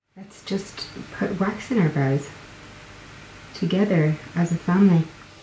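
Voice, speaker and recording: Noticeable background noise surrounds a woman speaking at a fairly slow pace in a fairly low pitch, with ordinary pitch variation and big swings in loudness. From Ireland. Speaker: beauty vlogger. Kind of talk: casual talk to camera. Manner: chatty.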